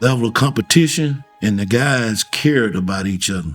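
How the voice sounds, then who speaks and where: A man with a Louisiana accent, lively intonation and a moderate pace. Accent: US South, Louisiana. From Monroe, Louisiana. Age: 70s. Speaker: former pro athlete. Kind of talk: documentary interview.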